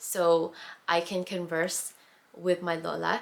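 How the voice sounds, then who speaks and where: A woman with a Canadian accent. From Canada, born in the Philippines, moved at five. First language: Tagalog. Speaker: lifestyle vlogger. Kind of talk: casual Q&A vlog. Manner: casual, many fillers.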